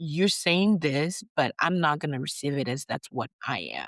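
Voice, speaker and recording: With an American accent, a woman talks at a fairly slow pace in a very deep, low voice with vocal fry and lively intonation, recorded very cleanly against a silent background with a dry, close sound and no echo. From Nigeria. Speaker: physician. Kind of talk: interview. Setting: podcast recording.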